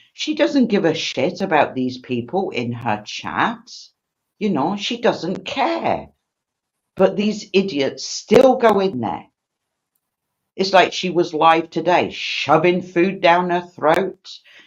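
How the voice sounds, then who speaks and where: A woman with a British accent speaks very slowly in a fairly low pitch, her voice full of vocal fry and swinging very widely in pitch. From Britain. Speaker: livestream host. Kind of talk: casual chat. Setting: live stream.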